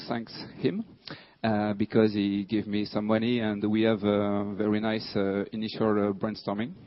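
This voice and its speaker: With a French accent, a man talks in a monotone, flat intonation. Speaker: security researcher. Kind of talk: conference talk. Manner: halting, many fillers.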